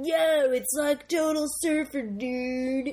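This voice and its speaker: A man's put-on character voice, extremely high-pitched and very slow. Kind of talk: slangy, casual.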